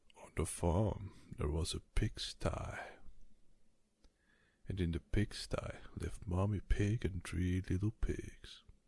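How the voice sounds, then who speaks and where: A man with a very deep, low pitch and a dark, mellow, somewhat breathy tone talks at a very slow pace with long, frequent pauses and fairly even intonation, on a very clean recording with a silent background. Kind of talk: bedtime story reading, ASMR.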